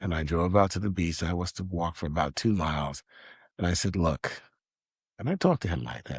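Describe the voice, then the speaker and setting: A man with a very deep, low pitch speaks in an animated tone, somewhat breathy, at a moderate pace. The recording is very clean, with a silent background. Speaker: journalist. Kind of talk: casual chat. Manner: animated storytelling.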